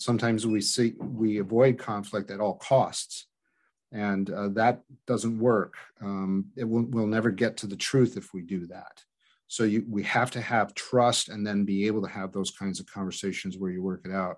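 With a quiet background, an unremarkable speaking voice moves at a moderate pace with fairly even intonation. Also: man, fairly low pitch for a man. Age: 60s. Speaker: former pastor, ministry director. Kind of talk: interview conversation.

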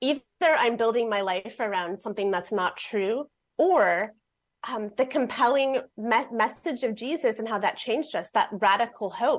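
Against a quiet background, a woman speaks at a moderate pace. Her fairly high voice shows ordinary pitch variation. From US Midwest, Fort Wayne, Indiana. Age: 40s. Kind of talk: radio interview.

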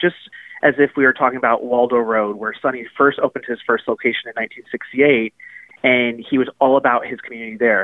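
Medium pitch, moderate pace and fairly even intonation from a man with a normal speaking voice. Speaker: restaurant chain kindness officer. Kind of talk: casual interview. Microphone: connection broke up.

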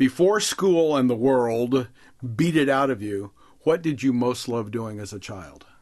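In an unremarkable speaking voice at medium pitch, a man talks at a fairly slow pace with lively intonation and big swings in loudness. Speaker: guest author and leadership writer. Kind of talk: interview about his writing.

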